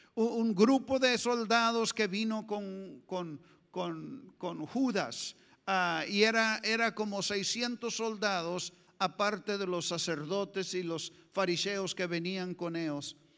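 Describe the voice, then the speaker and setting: A man with a high voice talks at a fairly slow pace. His pitch moves in an ordinary way over a quiet background. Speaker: pastor. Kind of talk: sermon. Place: church. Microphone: handheld.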